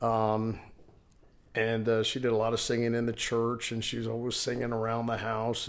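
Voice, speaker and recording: A man talks at a moderate pace with an American accent. His pitch is medium. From New York City (Queens). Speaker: rock band vocalist. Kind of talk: interview conversation. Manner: halting, many fillers.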